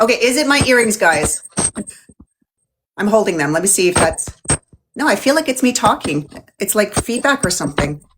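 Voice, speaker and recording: A loud woman's voice at a fairly high pitch with very wide pitch swings, a fairly quick pace, long, frequent pauses, and music in the background. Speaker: beauty channel host. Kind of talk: livestream interview chat. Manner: animated.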